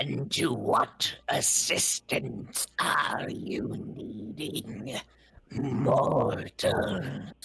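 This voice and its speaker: Growling in a put-on character voice of medium pitch, a man speaks at a very slow pace. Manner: eerie, commanding.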